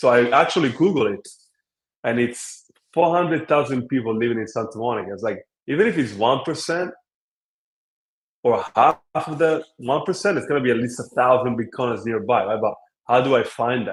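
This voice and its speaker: A man at medium pitch speaks at a fairly quick pace with lively intonation. His speech has long, frequent pauses. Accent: Italian. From Italy. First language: Italian. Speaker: app co-founder. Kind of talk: interview.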